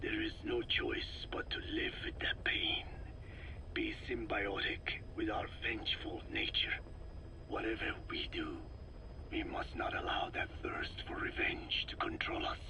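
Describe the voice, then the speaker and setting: Whispering in a cartoonish character voice, a man speaks over loud background noise. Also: fairly slow pace. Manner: formal, measured, no contractions.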